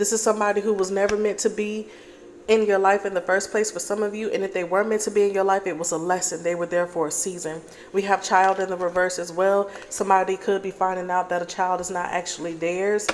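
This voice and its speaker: A woman's medium-pitched, monotone, flat delivery at a very fast pace, with noticeable background noise. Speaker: tarot reader. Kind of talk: collective tarot reading.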